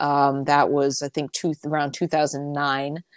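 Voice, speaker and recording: Her very deep, low voice comes with an American accent, and this woman is recorded very cleanly against a silent background. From upstate New York, near Albany. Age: 30s. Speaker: health coach and nutrition writer. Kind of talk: casual interview.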